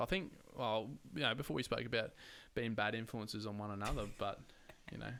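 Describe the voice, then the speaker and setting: A man's fairly low, bright and sharp voice with an Australian accent, fairly quick but with long, frequent pauses, and ordinary pitch variation. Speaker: podcast host. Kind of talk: casual chat. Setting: at home, windows open.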